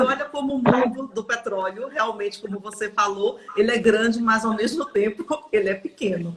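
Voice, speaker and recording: A woman with a Paraíba accent, fairly high-pitched with ordinary pitch variation, against noticeable background noise. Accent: Northeastern Brazilian (Paraíba). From Brazil, Paraíba (Northeast). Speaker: oil industry manager. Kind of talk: podcast interview. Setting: live stream.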